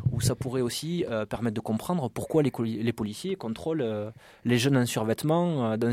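A man with a southern French accent, medium-pitched and dark, mellow in tone, with ordinary pitch variation, dry and close with no echo on a very clean recording with a silent background. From southern France, Carcassonne. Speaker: police officer. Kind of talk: interview.

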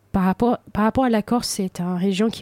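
A woman with a dark, mellow tone is heard in a very clean recording with a silent background. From United States, Cape Verdean family. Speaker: sommelier. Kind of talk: radio interview.

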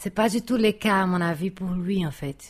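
A somewhat breathy woman with a Brazilian accent and ordinary pitch variation. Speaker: architect. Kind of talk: casual chat. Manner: exaggerated vowels.

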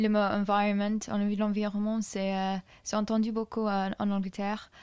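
Flat, monotone intonation comes at a fairly slow pace in a very clean recording with a silent background. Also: woman. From England, Solihull near Birmingham. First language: English (speaking French). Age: 20s. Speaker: student. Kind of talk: casual interview. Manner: halting.

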